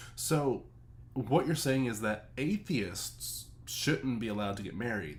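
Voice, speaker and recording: A man's medium-pitched voice with vocal fry, lively intonation and a fairly slow pace. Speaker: streamer reacting to a video. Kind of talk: reaction commentary. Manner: animated.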